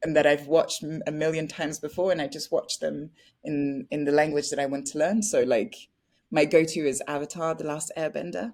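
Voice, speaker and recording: In a very clean recording with a silent background, a woman with a French accent speaks in a very deep, low pitch. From France (Paris). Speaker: actress. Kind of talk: interview. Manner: bubbly.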